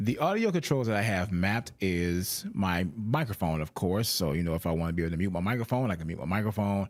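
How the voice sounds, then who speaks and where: A man at a very fast pace with hardly any pauses, animated in tone, fairly low in pitch with ordinary pitch variation, on a very clean recording with a silent background. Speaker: streamer. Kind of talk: product demo. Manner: loud.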